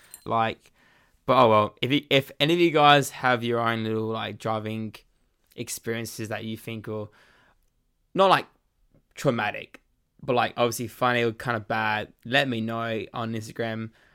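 A man with a medium pitch and a bright, sharp tone talks at a moderate pace with fairly even intonation, leaving long, frequent pauses. The recording is very clean, with a silent background. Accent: Australian. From Australia. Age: young. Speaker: podcast host. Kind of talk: casual solo monologue. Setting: home bedroom recording.

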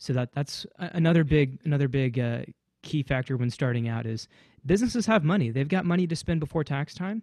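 With an ordinary speaking voice, a man talks at a fairly quick pace, his fairly high pitch moving in a lively way over a dry, close sound with no echo. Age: 20s. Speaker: wedding DJ and production company owner. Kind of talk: casual chat.

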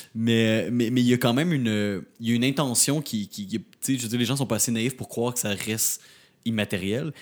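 A man's plain, everyday voice at medium pitch, fairly quick in pace, with ordinary pitch variation, in a very clean recording with a silent background. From Quebec, Rimouski. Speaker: podcast co-host. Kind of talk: casual interview.

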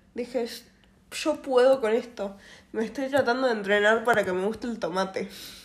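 A woman in an ordinary speaking voice talks at a moderate pace with fairly high pitch and ordinary pitch variation. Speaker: podcast co-host. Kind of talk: casual chat.

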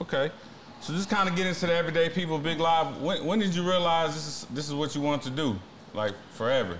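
A man with an American accent, fairly high pitch, ordinary pitch variation and very fast pace, with audible room echo. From San Antonio, Texas. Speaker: podcast host. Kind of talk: interview.

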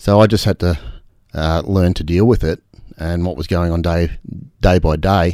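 A man with an Australian accent speaks in a very deep, low pitch and a dark, mellow tone at a moderate pace, with fairly even intonation. He leaves long, frequent pauses, and the recording is very clean with a silent background. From Australia, Albury region. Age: 50s. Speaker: off-road motorcycle racer and business owner. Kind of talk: casual interview.

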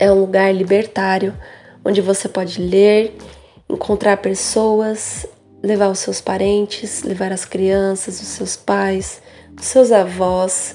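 A woman speaks at a very slow pace in a flat monotone, her pitch sitting in the middle of her range. Her tone is dark and mellow, and her loudness swings widely. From São Paulo, Brazil. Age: 20s. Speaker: young cultural monitor. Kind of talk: testimony.

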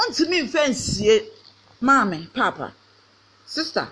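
A woman with a Ghanaian accent speaks very slowly in a raised, projected voice over noticeable background noise. Her pitch is high and swings very widely. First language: Twi. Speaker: pastor. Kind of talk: sermon. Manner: animated.

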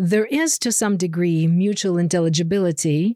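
A woman with a Russian accent speaks at a fairly slow pace in a dry, close recording with no echo. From Ukraine. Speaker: linguistics professor. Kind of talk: interview.

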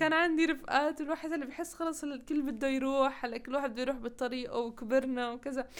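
Speaking in a Levantine accent, a woman talks at a fairly quick pace and high pitch, with fairly even intonation and hardly any pauses. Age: 20s. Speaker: engineering graduate. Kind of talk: interview.

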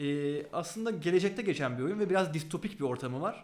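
Pitch swings very widely as this man talks at a moderate pace. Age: 20s. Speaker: board game designer and research assistant. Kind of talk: interview. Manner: hesitant fillers.

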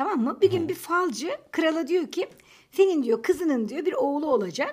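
Her pitch swings very widely while she keeps to a moderate tempo. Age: 30s. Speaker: podcast co-host. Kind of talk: casual chat. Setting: home recording.

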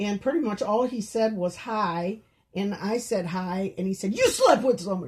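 An ordinary speaking voice with an American accent, moderate pace and ordinary pitch variation. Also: woman, medium pitch for a woman. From rural Minnesota. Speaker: podcast guest, host's mother. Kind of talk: casual chat.

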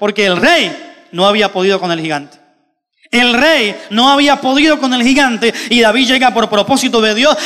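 A man's raised, projected voice at an extremely high pitch and fairly quick pace, bright and sharp in tone. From Colombia. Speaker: pastor. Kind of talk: sermon.

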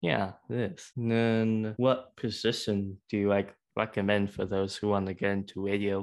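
This man talks in a normal speaking voice, fairly low in pitch, at a fairly slow pace. His intonation stays fairly even over a quiet background. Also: hardly any pauses. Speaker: podcast interviewer. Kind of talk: casual interview. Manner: friendly, encouraging.

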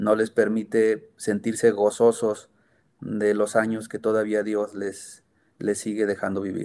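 Against a silent background in a very clean recording, a dark, mellow tone moves at a fairly slow pace with monotone, flat intonation. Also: man, fairly low pitch for a man. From Mexico, Sierra Gorda of Guanajuato. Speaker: foundation co-founder. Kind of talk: interview.

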